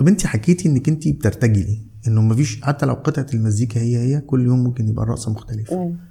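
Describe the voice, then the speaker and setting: A man speaks at a fairly quick pace with hardly any pauses, his medium-pitched voice somewhat breathy, dark and mellow in tone, and lively in intonation. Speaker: podcast host, website founder. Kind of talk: interview.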